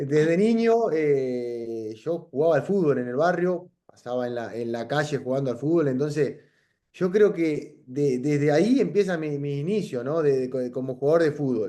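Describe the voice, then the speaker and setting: Dark, mellow tone at a moderate pace with lively intonation. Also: man, fairly high pitch for a man. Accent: Uruguayan. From Uruguay, Salto (north). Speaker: professional footballer, goalkeeper. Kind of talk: interview. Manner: halting, many repetitions and fillers.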